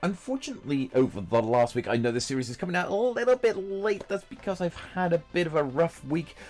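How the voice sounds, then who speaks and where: With music in the background, a man speaks at a very fast pace. His high voice swings very widely in pitch. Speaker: gaming YouTuber. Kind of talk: gameplay commentary voiceover.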